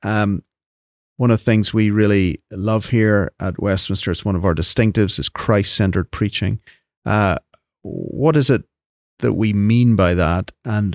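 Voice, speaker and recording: On a very clean recording with a silent background, dry and close with no echo, a man with a fairly low voice speaks at a moderate pace in a normal speaking voice with ordinary pitch variation. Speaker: podcast host. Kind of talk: interview conversation.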